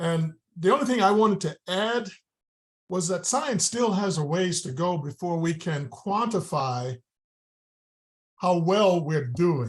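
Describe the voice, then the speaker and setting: A man's high voice, lively in intonation, at a fairly slow pace with long, frequent pauses. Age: 80s+. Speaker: doctor commenting in a supplement company talk. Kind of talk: panel discussion comment. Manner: halting, with repeated words.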